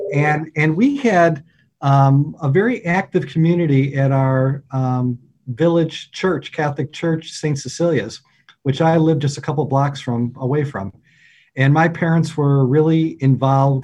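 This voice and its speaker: A man's somewhat breathy, fairly high voice with an upstate New York accent, ordinary pitch variation and a fairly slow pace over a quiet background. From upstate New York, near Syracuse. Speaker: deacon. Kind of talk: casual interview.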